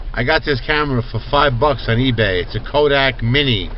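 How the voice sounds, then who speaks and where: Audible room echo and noticeable background noise surround a man whose medium-pitched voice shows ordinary pitch variation. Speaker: vlogger. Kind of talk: casual vlog while driving. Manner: loud. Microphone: cheap camera mic.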